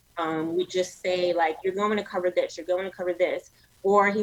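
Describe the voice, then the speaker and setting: A woman speaks at a fairly quick pace with a New York accent and ordinary pitch variation. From New York City, Brooklyn. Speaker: media entrepreneur. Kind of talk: interview conversation.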